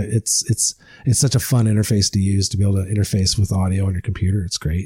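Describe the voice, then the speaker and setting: A man with a Canadian accent talks at a very fast pace in a fairly low pitch, his dark, mellow tone somewhat breathy with fairly even intonation. The sound is dry and close with no echo, on a very clean recording with a silent background. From Ottawa Valley, Ontario, Canada. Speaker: podcaster and bikepacker. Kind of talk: casual chat.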